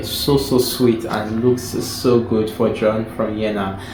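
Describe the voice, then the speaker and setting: Amid noticeable background noise and audible room echo, a man talks at medium pitch and a fairly slow pace. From Nigeria. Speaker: book reviewer. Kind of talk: casual chat.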